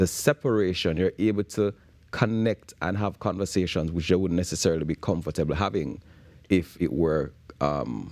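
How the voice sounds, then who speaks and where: Speaking with a Jamaican accent at a moderate pace, a man uses a very deep, low pitch with vocal fry and ordinary pitch variation in a very clean recording with a silent background. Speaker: bootcamp founder for young men. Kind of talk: morning show interview. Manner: hesitant, with repeated words.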